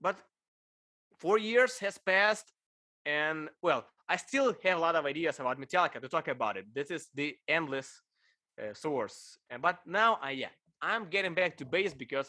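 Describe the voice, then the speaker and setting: A man's high, bright, sharp voice in a Ukrainian accent, lively in intonation, at a moderate pace with long, frequent pauses, on a very clean recording with a silent background. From Ukraine. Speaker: bass player and video creator. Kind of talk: casual interview chat. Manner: slightly halting non-native phrasing.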